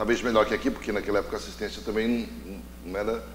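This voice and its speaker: This is a man speaking. His pitch is fairly low. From Paraná, Brazil. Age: 40s. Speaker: TV talk show host. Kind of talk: interview.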